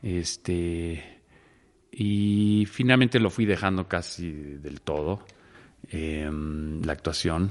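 In a quiet setting, a man speaks at a very slow pace. His pitch is very deep and low, with ordinary variation. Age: 60s. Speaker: actor and theatre director. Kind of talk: interview conversation. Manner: hesitant, many fillers.

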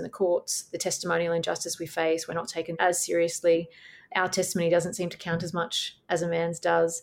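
A woman speaks with an Australian accent. Her fairly low voice moves at a fairly quick pace. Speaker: barrister. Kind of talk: interview.

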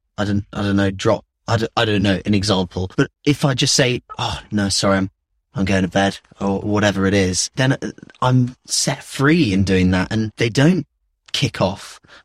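A man speaks at a moderate pace in a normal speaking voice, recorded very cleanly against a silent background with a dry, close sound and no echo. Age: 20s. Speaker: film producer. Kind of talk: casual chat.

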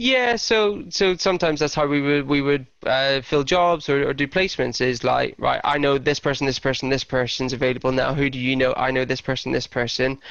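In a Belfast accent, a man with a fairly high pitch talks at a fairly quick pace. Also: ordinary pitch variation, hardly any pauses. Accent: Belfast Northern Irish. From Northern Ireland, Belfast. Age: 30s. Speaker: recruitment consultant. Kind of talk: interview. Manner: hesitant, many fillers.

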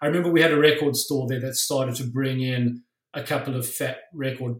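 A South African accent comes through at a moderate pace, with a voice that is somewhat breathy. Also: man. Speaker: musician and tattoo artist. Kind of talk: casual interview.

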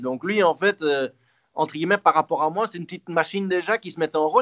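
A man talks at a very fast pace. His voice is fairly high-pitched, with ordinary pitch variation. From Belgium. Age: 30s. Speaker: retired tennis player. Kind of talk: interview. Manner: halting.

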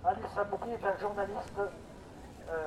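There is noticeable background noise as a man with a high pitch talks at a moderate pace. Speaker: activist. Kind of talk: speech at rally. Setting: outdoors. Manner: formal.

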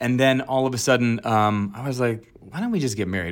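Speaking at a fairly quick pace, a man with an American accent has a medium pitch and an unremarkable speaking voice. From Virginia, US (Alexandria). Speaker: actor. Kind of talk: casual chat. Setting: video call.

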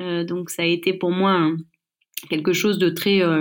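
A woman's medium-pitched voice at a very slow pace. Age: 40s. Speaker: chef and business owner. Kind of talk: interview. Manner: halting.

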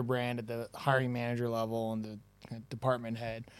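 A man at a medium pitch talks in a plain, everyday voice. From Toronto, Canada. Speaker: recruitment tech founder. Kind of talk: casual interview chat. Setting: in person, live event.

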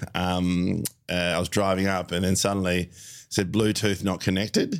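Here a man talks at a moderate pace with an Australian accent. His pitch is fairly low. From Melbourne, Australia. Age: 40s. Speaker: comedian. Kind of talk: casual chat. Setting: studio.

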